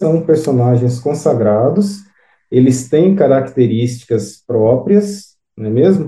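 Lively in intonation, a man speaks in a somewhat breathy voice with a dark, mellow tone. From São Paulo, Brazil. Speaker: author. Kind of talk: interview.

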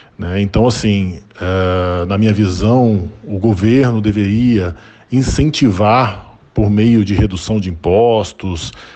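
A man speaks at a very slow pace. His fairly low voice has ordinary pitch variation. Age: 40s. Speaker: electric car owner interviewed. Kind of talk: recorded interview testimony. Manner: halting, many fillers and repetitions.

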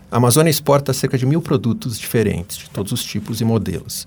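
A man talks at a moderate pace in a somewhat breathy voice, his pitch varying in an ordinary way. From Brazil, São Paulo city. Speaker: economics professor. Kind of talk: interview. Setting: radio studio.

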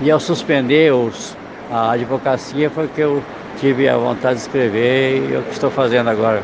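Noticeable background noise accompanies a man talking at a medium pitch and moderate pace. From southern Brazil, Rio Grande do Sul. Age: 80s+. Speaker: writer, retired lawyer. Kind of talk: interview at book fair. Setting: book fair stand.

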